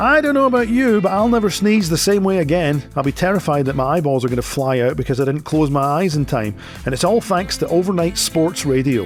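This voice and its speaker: Over music in the background, a speaker with a Scottish accent talks with hardly any pauses, very even loudness and very wide pitch swings. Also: man, fairly high pitch for a man. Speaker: radio show host. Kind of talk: radio feature presentation.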